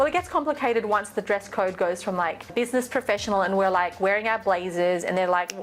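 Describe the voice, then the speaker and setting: Over music in the background, a woman talks at a fairly quick pace with a medium pitch and ordinary pitch variation. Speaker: fashion stylist and vlogger. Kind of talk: casual talk-to-camera tutorial. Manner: animated.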